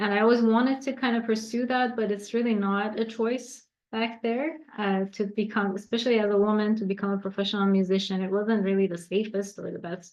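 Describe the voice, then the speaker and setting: Speaking at a fairly quick pace in a Persian accent, a woman uses a fairly high pitch with ordinary pitch variation. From Iran. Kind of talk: interview.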